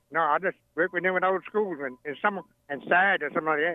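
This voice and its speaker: A man with a Virginia Tidewater accent talks at a very fast pace in a high voice, his pitch rising and falling in an ordinary way. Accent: Southern US, rural Virginia Tidewater. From Virginia, US. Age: 80s. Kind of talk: casual interview, storytelling. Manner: humorous storyteller.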